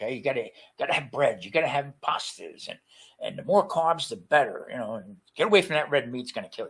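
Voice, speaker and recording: A man with a New Jersey accent talks at a very fast pace, his loudness swinging widely. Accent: New Jersey American. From New Jersey, US. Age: 70s. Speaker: retired chef, cancer survivor. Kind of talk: interview testimony. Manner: halting, many repetitions and fillers.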